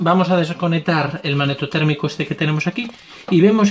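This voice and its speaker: Speech moves at a fairly quick pace against light background noise. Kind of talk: tutorial. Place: garage. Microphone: phone near.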